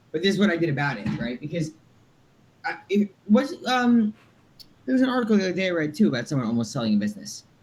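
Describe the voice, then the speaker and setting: A man with a high pitch talks at a very fast pace, his pitch swinging very widely. Long, frequent pauses break his speech, and background noise is noticeable. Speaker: startup founder. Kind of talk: casual interview chat. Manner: fast, with many fillers and restarts.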